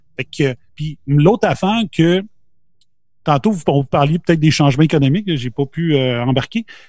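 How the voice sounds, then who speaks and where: A man's fairly high, somewhat breathy voice. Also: ordinary pitch variation, moderate pace, dry, close sound with no echo. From Quebec, Beauce region. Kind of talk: casual chat.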